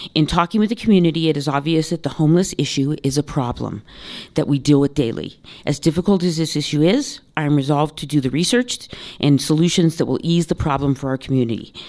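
A woman speaks at a very fast pace in a very deep, low voice with a dark, mellow tone. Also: ordinary pitch variation. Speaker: city council candidate, small business owner. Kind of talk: candidate forum debate. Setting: stage with audience.

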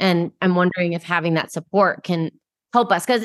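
With an animated tone, a woman speaks at a fairly quick pace at a medium pitch with ordinary pitch variation, against a quiet background and a dry, close sound with no echo. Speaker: podcast host. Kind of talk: interview chat.

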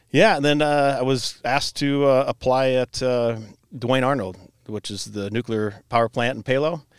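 The very clean recording has a silent background and a dry, close sound with no echo. A man with a Midwestern American accent talks at a moderate pace, medium pitch and ordinary pitch variation. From Iowa, Cedar Rapids area. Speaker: brewery owner and brewmaster. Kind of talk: casual chat.

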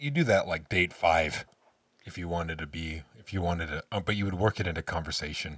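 A man with a very deep, low pitch speaks fairly quickly in an animated tone, his pitch varying in an ordinary way. The recording is very clean, with a silent background. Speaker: podcast host. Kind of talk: casual chat. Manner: animated, joking.

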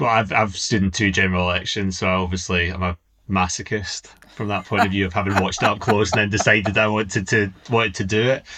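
Over a quiet background, a man with a west of Scotland accent talks at a very fast pace, his fairly low pitch carrying a bright, sharp tone and fairly even intonation. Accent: west of Scotland Scottish. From Scotland, Inverclyde. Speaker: former political advisor. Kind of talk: casual interview chat.

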